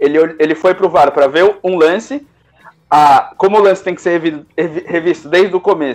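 At a moderate pace, a man talks in a high voice. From Brazil. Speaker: sports radio co-host. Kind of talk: live sports talk show. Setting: remote via Discord. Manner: halting, many repetitions.

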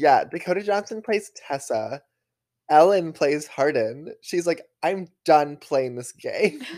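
A man's high voice at a very slow pace, with lively intonation. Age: 20s. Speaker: podcast co-host. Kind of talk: casual chat.

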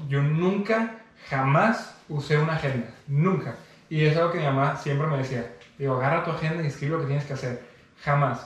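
Recorded with audible room echo and noticeable background noise, a man with a Mexican accent talks at a fairly quick pace, his fairly high voice showing ordinary pitch variation. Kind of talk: casual chat.

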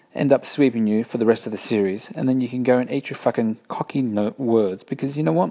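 A man speaks with an Australian accent at a moderate pace. His medium-pitched voice has a dark, mellow tone. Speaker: podcast host. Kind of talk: casual solo commentary. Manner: animated.

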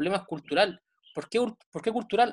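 Medium-pitched speech from a woman at a fairly quick pace. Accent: Chilean. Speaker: podcast host, sports science page creator. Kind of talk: casual interview chat.

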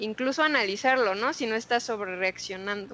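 A woman speaks in an ordinary speaking voice, fairly high in pitch, with ordinary pitch variation. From Mexico City. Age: 20s. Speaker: tech community leader. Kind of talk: interview.

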